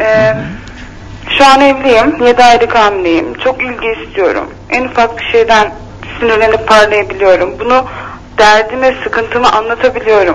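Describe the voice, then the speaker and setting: A woman's fairly high voice over noticeable background noise. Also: ordinary pitch variation, moderate pace. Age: 20s. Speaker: caller. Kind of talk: personal problem on phone-in.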